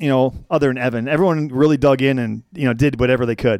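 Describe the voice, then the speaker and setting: A man with a normal speaking voice and fairly high pitch talks at a fairly quick pace. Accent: American. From Wisconsin. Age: 40s. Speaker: former radio program director. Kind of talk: casual chat.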